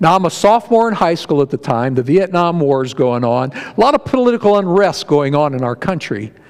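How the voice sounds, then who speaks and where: Speaking at a fairly quick pace with hardly any pauses, a man with a Midwestern American accent lets his pitch swing very widely. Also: fairly high pitch for a man. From northeast Ohio, Barberton area. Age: 60s. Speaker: lay preacher. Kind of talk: sermon. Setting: church with congregation. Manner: folksy, conversational.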